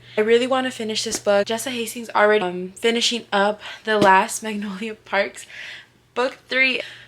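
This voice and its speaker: Against noticeable background noise, a woman with a fairly high pitch talks at a moderate pace with fairly even intonation. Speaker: vlogger. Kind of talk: casual vlog. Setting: at home, getting ready for work.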